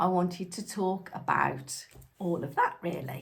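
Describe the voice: Recorded with audible room echo, a woman speaks at a fairly low pitch with vocal fry.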